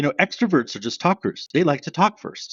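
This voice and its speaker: A man speaks with a Canadian accent and vocal fry. His pitch swings very widely. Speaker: sales trainer. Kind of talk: podcast interview. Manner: loud; fast.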